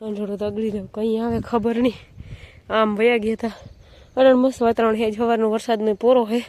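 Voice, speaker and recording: Her voice sits at a fairly high pitch with a dark, mellow tone, and the woman keeps a monotone, flat intonation. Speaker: vlogger. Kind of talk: casual chat.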